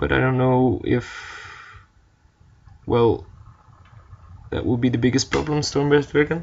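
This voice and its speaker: Speaking with a non-native accent, a man goes at a fairly slow pace with long, frequent pauses. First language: not English. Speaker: card game player narrating gameplay. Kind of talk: gameplay commentary. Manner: hesitant, many fillers.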